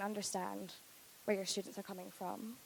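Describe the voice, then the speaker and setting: A woman speaks with a Scottish accent. Her intonation stays monotone and flat. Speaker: university recruiter, panel moderator. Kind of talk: panel presentation.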